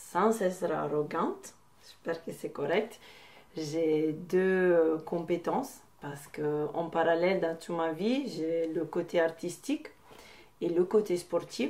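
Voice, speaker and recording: A woman talks at a very slow pace. Her pitch is fairly low, with ordinary pitch variation. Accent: Italian. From Italy. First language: Italian (speaking French). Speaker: boxing coach and artist. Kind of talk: personal testimony interview. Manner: hesitant, with many filler sounds.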